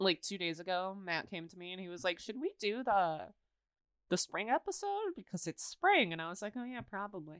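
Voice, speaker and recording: A woman with a plain, everyday voice speaks at a moderate pace and medium pitch, her intonation lively. Her loudness swings widely, and the sound is dry and close with no echo. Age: 20s. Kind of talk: casual chat.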